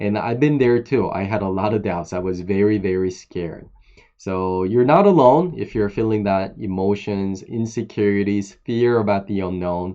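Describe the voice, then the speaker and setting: A man with a fairly low pitch, ordinary pitch variation and a non-native accent, at a moderate pace. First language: not English. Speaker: online course instructor. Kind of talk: personal talk to camera. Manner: hesitant, with many fillers.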